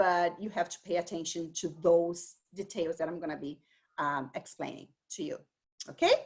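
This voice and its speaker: With a Brazilian accent, a woman speaks in a fairly low voice. Her intonation stays fairly even at a moderate pace. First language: Portuguese. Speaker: dyslexia and bilingualism expert presenter. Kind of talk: lecture.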